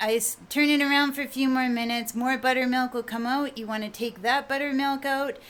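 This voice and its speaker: A woman with fairly even intonation. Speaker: home cooking vlogger. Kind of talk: tutorial. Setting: home kitchen. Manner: casual.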